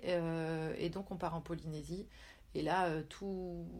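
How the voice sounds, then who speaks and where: This woman's voice carries a dark, mellow tone. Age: 40s. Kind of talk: casual interview.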